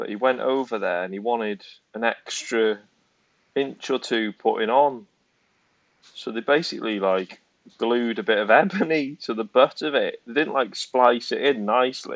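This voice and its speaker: A man speaks at a moderate pace with a Welsh accent. His pitch is medium and varies in an ordinary way. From Wales. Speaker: snooker channel co-host. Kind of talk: casual chat.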